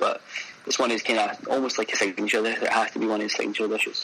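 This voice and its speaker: A man with a Glaswegian accent talks at a very fast pace amid noticeable background noise. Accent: Glaswegian Scottish. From Scotland, Glasgow. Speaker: chef. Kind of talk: casual interview.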